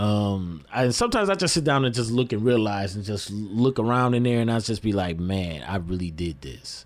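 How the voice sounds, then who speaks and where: Hardly pausing, a man with an American accent speaks at a fairly quick pace and a fairly low pitch, with ordinary pitch variation. He has a normal speaking voice. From Lansing, Michigan (South Side). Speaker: DJ. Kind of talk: radio interview.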